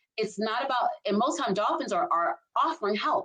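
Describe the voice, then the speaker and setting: Talking at a fairly quick pace, a woman with a Southern US accent uses lively intonation. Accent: Southern US (Georgia). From US South, Albany, Georgia. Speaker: leadership strategist. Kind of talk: casual chat. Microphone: poor quality internet backup recording.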